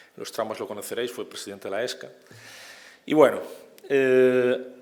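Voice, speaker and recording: The speaker is a man. Room echo is audible. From Galicia, Spain (Vigo). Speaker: operating room nurse, conference speaker. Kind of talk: conference talk. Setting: conference stage with audience. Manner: informal, halting with repetitions.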